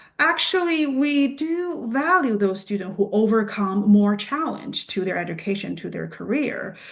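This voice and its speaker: Fairly high-pitched woman with a non-native accent, lively intonation and a moderate pace, against noticeable background noise. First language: not English. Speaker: PA program admissions representative. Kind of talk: Q&A answers at admissions presentation. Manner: halting, many fillers and restarts.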